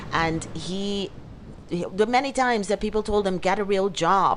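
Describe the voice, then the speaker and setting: A woman speaks at a moderate pace in a medium pitch with an animated tone. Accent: non-native. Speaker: podcast host, life coach. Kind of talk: motivational podcast monologue.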